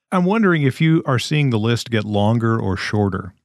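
The recording is very clean, with a silent background and a dry, close sound that has no echo. A man speaks in a normal speaking voice at medium pitch, with ordinary pitch variation and a moderate pace. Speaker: podcast co-host. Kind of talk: casual chat.

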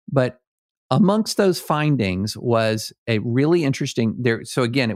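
In a very clean recording with a silent background, a man speaks at a moderate pace in a normal speaking voice with ordinary pitch variation. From rural US South. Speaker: lawyer and political writer. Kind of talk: casual chat.

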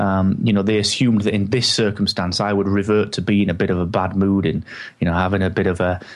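This man speaks at a very fast pace with a fairly low pitch. His intonation stays monotone and flat. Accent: English. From England. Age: 30s. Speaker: podcaster. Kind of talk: interview.

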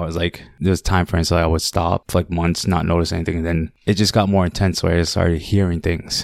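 With a Cambodian accent, a man with a very deep, low pitch talks at a very fast pace, the sound dry and close with no echo in a very clean recording with a silent background. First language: Khmer. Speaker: listener sharing a paranormal story. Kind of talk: personal storytelling. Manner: halting.

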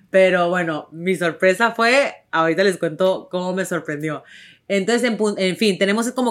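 A woman speaks in an animated tone with a strong northern Mexican accent. The recording is very clean, with a silent background. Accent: strong northern Mexican ranchero. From Tijuana, Mexico. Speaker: podcast host and actress. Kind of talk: casual chat.

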